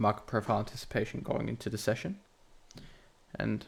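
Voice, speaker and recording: A man talks quietly at a fairly quick pace. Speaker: trading educator. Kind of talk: tutorial. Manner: hesitant.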